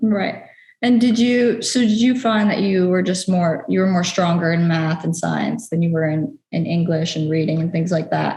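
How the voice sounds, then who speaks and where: A woman's somewhat breathy, fairly low voice with a dark, mellow tone, an American accent, ordinary pitch variation, very even loudness and audible room echo. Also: moderate pace. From New York. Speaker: interviewer. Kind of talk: interview.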